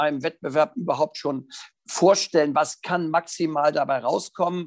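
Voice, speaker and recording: A man with a normal speaking voice and a fairly high pitch talks at a moderate pace, and the sound is dry and close with no echo. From northern Germany, near Hannover. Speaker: riding instructor and dressage judge. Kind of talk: interview.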